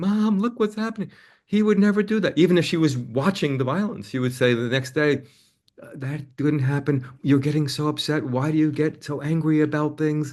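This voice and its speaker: At a moderate pace, a man with a plain, everyday voice speaks in a fairly high pitch with lively intonation. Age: 60s. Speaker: counselor and author. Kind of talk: interview.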